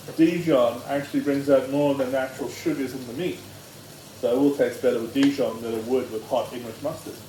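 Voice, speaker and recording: A man speaks at a fairly quick pace with a fairly high pitch and fairly even intonation. Noticeable background noise and audible room echo come through. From Australia. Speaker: home cooking show host. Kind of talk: cooking tutorial. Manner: loud; hesitant, many ums.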